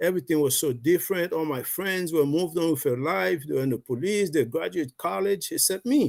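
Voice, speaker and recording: A man with a Haitian accent talks at a fairly quick pace with hardly any pauses, in a very clean recording with a silent background. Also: fairly high pitch for a man. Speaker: network marketing member, Navy veteran. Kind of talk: personal testimony on a livestream. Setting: live video stream.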